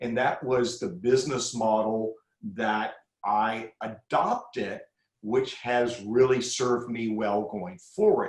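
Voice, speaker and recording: This man's medium-pitched voice moves at a very slow pace with ordinary pitch variation. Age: 60s. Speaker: crisis communications expert. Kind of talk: podcast interview.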